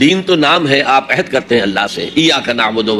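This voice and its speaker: Noticeable background noise sits behind a man's voice. He speaks at medium pitch with lively intonation. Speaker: Islamic scholar. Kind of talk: religious sermon.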